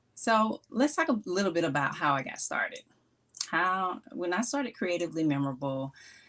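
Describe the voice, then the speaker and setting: Speaking with a Mississippi accent, a woman makes very wide pitch swings in a very clean recording with a silent background. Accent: Mississippi Southern. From US South, Mississippi. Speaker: gift strategist, small business owner. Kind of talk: live stream talk. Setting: live stream on Instagram and YouTube. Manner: slow.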